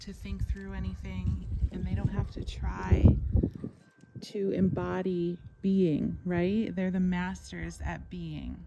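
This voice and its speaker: A soft-spoken woman at a very slow pace, with noticeable background noise and audible room echo. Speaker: equine-assisted wellness coach. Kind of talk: guided meditation.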